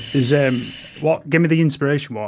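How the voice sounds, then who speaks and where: Talking at a fairly quick pace, a man with an English accent speaks at a medium pitch with ordinary pitch variation. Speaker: podcast co-host and streamer. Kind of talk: casual chat.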